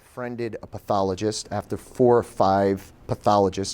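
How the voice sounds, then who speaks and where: The man has a normal speaking voice with fairly low pitch. His intonation is fairly even and his pace moderate. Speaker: author and motivational speaker; person who stutters, in recovery. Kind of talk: live talk to an audience.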